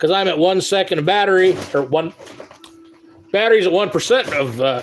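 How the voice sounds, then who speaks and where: Over noticeable background noise, a high-pitched man speaks at a moderate pace with lively intonation. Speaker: live streamer, sports card collector. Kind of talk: casual live stream chat.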